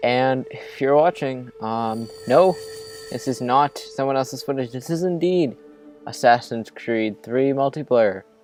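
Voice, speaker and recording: Music plays in the background as a man speaks at medium pitch. He talks at a fairly slow pace with ordinary pitch variation. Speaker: gaming commentator. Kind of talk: casual gameplay commentary.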